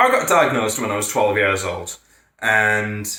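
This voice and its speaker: A man talks at a moderate pace and medium pitch. His tone is bright and sharp. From northern England, County Durham. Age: 30s. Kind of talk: casual vlog monologue. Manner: hesitant, many fillers.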